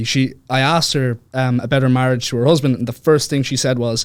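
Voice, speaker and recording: A man talks with an Irish accent. His pace is very fast. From Ireland, Dublin. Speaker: author. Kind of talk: podcast interview. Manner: hesitant, many fillers.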